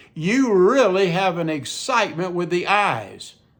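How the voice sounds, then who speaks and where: A man's high-pitched voice with a Southern US accent and very wide pitch swings. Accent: Southern US, mild. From Mississippi Gulf Coast. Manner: tries to enunciate clearly; conversational, repetitive asides.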